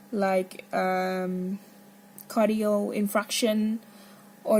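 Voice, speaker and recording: A woman speaks at a very slow pace. Her intonation stays monotone and flat. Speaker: medical student. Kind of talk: casual monologue. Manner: halting.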